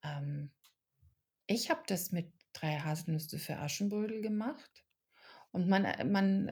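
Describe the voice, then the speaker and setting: A woman speaks at medium pitch with a dark, mellow tone that is somewhat breathy. Her pitch varies in an ordinary way on a very clean recording with a silent background. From Germany, raised in Czech family. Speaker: actress and author. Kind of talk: podcast interview. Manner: hesitant with fillers.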